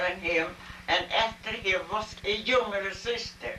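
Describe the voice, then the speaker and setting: A woman's medium-pitched voice in a Swedish accent at a fairly slow pace, with ordinary pitch variation, noticeable background noise and audible room echo. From Sweden. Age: 80s+. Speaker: interviewee. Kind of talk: family interview. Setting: home video. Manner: halting. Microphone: poor quality recording.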